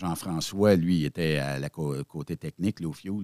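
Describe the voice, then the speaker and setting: A man speaks at a very deep, low pitch with ordinary pitch variation in a Quebec accent. The recording is very clean, with a silent background. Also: dry, close sound with no echo. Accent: Québécois French. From Quebec (Repentigny). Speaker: web radio founder, former trucker. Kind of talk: casual interview.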